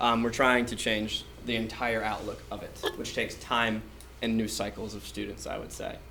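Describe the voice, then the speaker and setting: Audible room echo surrounds a man talking at a moderate pace. There is also noticeable background noise. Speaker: teacher presenting to school board. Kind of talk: presentation. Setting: school board meeting. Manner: loud.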